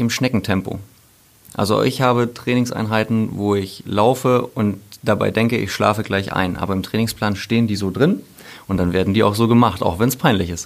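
This man has an ordinary speaking voice, with ordinary pitch variation and a moderate pace. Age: 40s. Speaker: sponsoring manager and running coach, former pro athlete. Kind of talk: casual interview chat. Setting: studio.

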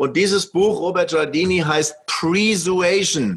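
A man talks at a fairly slow pace. His pitch is high. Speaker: storytelling and marketing expert. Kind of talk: interview. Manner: animated.

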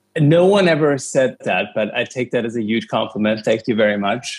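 With a German accent, a man speaks at a moderate pace with fairly even intonation. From Germany, Cologne. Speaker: media entrepreneur. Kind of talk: interview.

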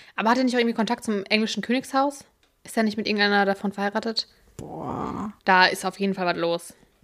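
A woman at a medium pitch, very fast pace and fairly even intonation. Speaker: podcast co-host. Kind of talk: casual chat.

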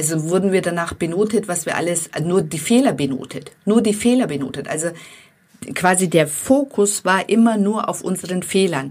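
A woman talks with a non-native accent. Her pitch is medium. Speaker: life coach for women; podcast host. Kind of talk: motivational monologue.

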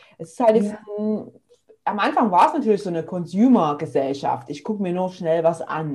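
Her tone dark, mellow and somewhat breathy, a woman speaks at a moderate pace and medium pitch with lively intonation. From eastern Germany, near Leipzig. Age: 30s. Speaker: physiotherapist and online entrepreneur. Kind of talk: casual interview.

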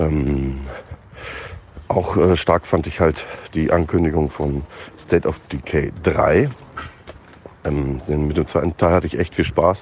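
Very slowly, a man speaks in a very deep, low pitch with fairly even intonation and long, frequent pauses. Noticeable background noise runs underneath. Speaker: gaming commentator. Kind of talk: voice message. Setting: outdoors, walking to bakery.

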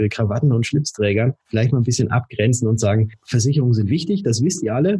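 A man at medium pitch with ordinary pitch variation, a normal speaking voice. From Germany, Würzburg (Lower Franconia). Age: 30s. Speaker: insurance broker. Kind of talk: podcast interview. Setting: office, remote call.

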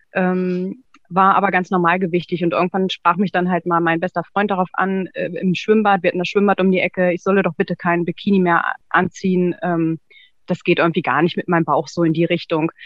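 Her fairly low voice stays monotone and flat as the woman talks at a fairly quick pace. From northern Germany, near Braunschweig. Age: 30s. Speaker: former coaching client, secretary. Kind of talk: interview testimony. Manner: hesitant, many fillers.

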